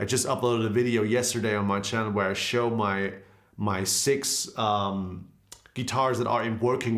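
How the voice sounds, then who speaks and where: German accent, fairly even intonation, and audible room echo. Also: man. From Germany. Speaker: guitarist and guitar teacher. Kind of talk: live stream Q&A. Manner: casual, conversational.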